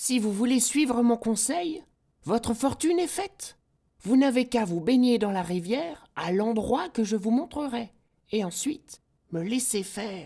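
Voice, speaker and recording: A put-on character voice with a fairly high pitch at a moderate pace. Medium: read story. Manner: crafty, persuasive.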